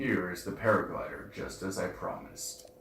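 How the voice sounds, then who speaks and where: A man does a put-on character voice at a moderate pace, with a slight echo around him. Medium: game stream.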